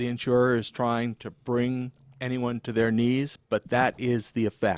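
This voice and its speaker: A man's ordinary speaking voice at medium pitch, dry and close with no echo. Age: 60s. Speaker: insurance attorney. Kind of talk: radio interview. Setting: radio studio, live. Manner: measured, formal.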